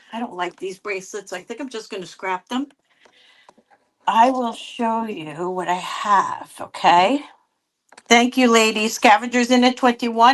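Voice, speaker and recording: A woman's plain, everyday voice, fairly high in pitch, at a fairly slow pace with ordinary pitch variation. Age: 60s. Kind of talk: live auction selling. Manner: chatty, informal.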